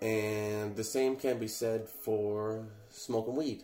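A man's voice comes with audible room echo around it. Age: 20s. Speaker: podcast host, content creator. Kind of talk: casual solo monologue. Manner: casual, halting with filler words.

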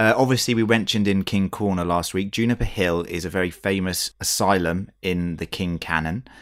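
A man with an English accent talks at a fairly quick pace with hardly any pauses, in a very deep, low pitch and fairly even intonation. The recording is very clean, with a silent background. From England. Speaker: podcast host. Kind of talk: casual chat.

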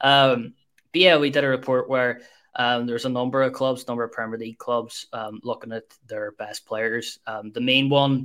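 A man talks at a moderate pace and medium pitch in a normal speaking voice. The recording is very clean, with a silent background. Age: 20s. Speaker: football podcast co-host. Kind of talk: casual chat.

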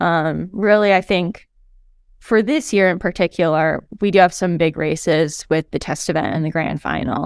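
A woman with an American accent speaks in a plain, everyday voice, fairly low in pitch with ordinary pitch variation. Her pace is moderate, and the recording is very clean with a silent background. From Montana, US. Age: 20s. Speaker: professional triathlete. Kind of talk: interview.

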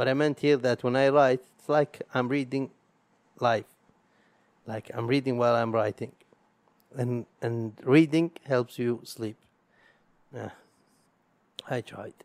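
With an Arabic accent, a man at medium pitch talks at a fairly slow pace with long, frequent pauses and fairly even intonation, his sound dry and close with no echo. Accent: Arabic accent, struggles with R. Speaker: podcaster. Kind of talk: solo monologue. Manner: halting, many pauses.

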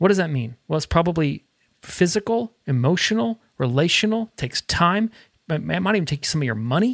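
The pace is fairly quick. It is a very clean recording with a silent background. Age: 40s. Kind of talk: casual chat.

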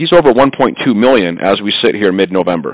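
Here is a plain, everyday voice. It moves at a moderate pace. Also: man. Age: 40s. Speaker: home improvement business owner. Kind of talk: interview.

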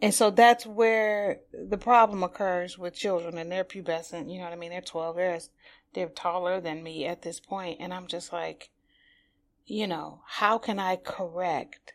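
A woman with an American accent speaks in an unremarkable speaking voice of medium pitch. Her pace is fairly slow, and her loudness swings widely. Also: fairly even intonation, very clean recording, silent background. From Detroit, Highland Park. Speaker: stage actress and drama educator. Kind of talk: podcast interview. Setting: studio.

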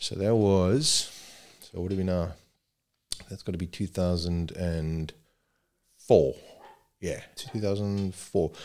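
With a South African accent, a man speaks at a very deep, low pitch and a very slow pace. His pitch varies in an ordinary way, and he leaves long, frequent pauses. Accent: English-speaking South African. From South Africa (Zululand). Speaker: rescue helicopter paramedic. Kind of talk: casual chat.

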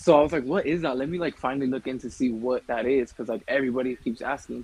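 A man with an American accent has a normal speaking voice. His medium-pitched delivery keeps fairly even intonation. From California. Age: 20s. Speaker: YouTuber and adult content creator. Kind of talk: casual interview.

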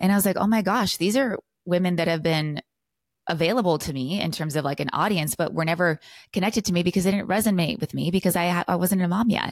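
In a very clean recording with a silent background, a woman with a fairly low voice and a West Coast US accent talks at a very fast pace with ordinary pitch variation and a dry, close sound with no echo. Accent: General American (West Coast). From California. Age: 30s. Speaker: lifestyle and business coach. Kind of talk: interview, casual conversation.

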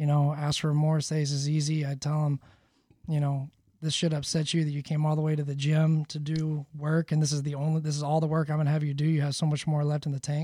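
Talking at a very fast pace, a man with a fairly high pitch sounds somewhat breathy, dark and mellow in tone, and monotone with flat intonation. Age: 30s. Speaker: performance coach for fighters. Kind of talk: casual interview. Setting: studio.

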